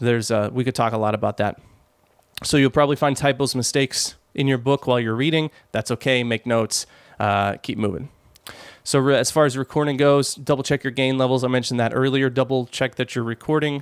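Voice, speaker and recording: A man's medium-pitched voice at a fairly quick pace with fairly even intonation, on a very clean recording with a silent background. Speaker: podcasting and audio tutorial creator. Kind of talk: tutorial. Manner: fast; casual, with fillers and restarts. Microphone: raw unprocessed audio, home studio mic.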